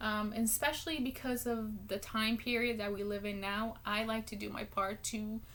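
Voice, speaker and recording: A woman with a Spanish accent, fairly high pitch and fairly even intonation, hardly any pauses, over noticeable background noise. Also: moderate pace. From Guatemala. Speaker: public speaking student. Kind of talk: class speech. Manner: hesitant, many ums.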